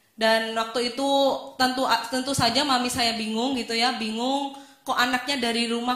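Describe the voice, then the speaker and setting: A woman talks at a fairly quick pace with a fairly high, monotone, flat voice. The recording has audible room echo and noticeable background noise. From Indonesia, Semarang (Central Java). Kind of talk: testimony.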